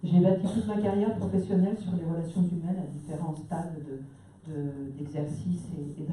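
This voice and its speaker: With noticeable background noise and audible room echo, a woman speaks at a moderate pace, her pitch fairly low with ordinary pitch variation. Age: 60s. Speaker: municipal election candidate. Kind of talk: public meeting speech.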